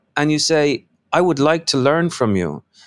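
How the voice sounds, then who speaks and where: A man with an American accent and very wide pitch swings, in a dry, close recording with no echo. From Ireland, Dublin. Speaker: novelist. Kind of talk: interview. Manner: halting, many repeated words and fillers.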